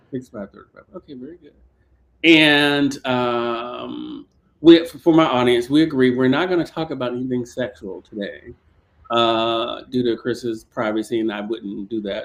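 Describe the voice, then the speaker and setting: With an unremarkable speaking voice, a man talks at a moderate pace and medium pitch, showing ordinary pitch variation and big swings in loudness. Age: 50s. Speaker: online talk show host. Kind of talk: interview.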